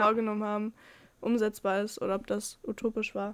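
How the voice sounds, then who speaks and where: A woman with a fairly high pitch talks at a moderate pace. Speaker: podcast co-host. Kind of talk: casual chat. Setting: separate rooms. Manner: halting.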